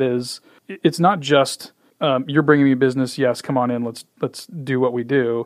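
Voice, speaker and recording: This man has an American accent and a fairly high pitch. He talks at a moderate pace with fairly even intonation. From US Midwest (Indiana). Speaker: podcast host. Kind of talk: casual interview.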